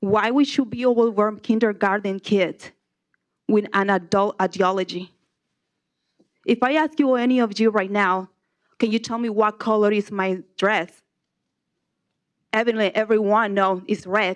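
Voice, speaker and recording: A woman speaks with a Spanish accent at a fairly high pitch and fairly even intonation. Her pace is moderate, broken by long, frequent pauses. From Nicaragua. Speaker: public commenter, kindergarten teacher. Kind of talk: public comment at board meeting. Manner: halting.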